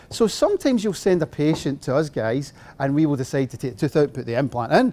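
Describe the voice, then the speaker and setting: A man in a Scottish accent at a very fast pace, fairly high-pitched, with ordinary pitch variation. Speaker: dentist and implant lecturer. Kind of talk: lecture.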